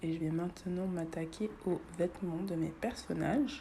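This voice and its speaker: Here a woman talks at a fairly slow pace. Her pitch is fairly low and her intonation fairly even. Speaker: illustrator and content creator. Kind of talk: casual voice-over chat while drawing. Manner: relaxed, many hesitations.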